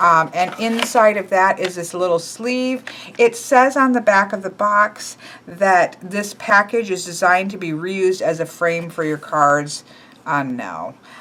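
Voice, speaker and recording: A woman's medium-pitched voice at a fairly slow pace, with lively intonation over noticeable background noise. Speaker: tarot deck reviewer. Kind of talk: casual deck review video. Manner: casual with many fillers.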